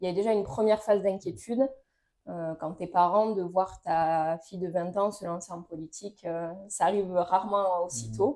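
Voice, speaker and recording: A woman's dark, mellow voice with big swings in loudness. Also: medium pitch for a woman, ordinary pitch variation, moderate pace. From Toulouse, southwest France. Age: 20s. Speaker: local politician. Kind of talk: interview. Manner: hesitant, many fillers.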